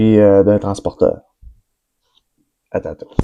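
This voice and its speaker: A man with a Quebec accent speaks at a very slow pace. His pitch is medium and his tone dark and mellow. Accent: Québécois French. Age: 20s. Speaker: forestry worker. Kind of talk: casual vlog introduction. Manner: hesitant, many fillers.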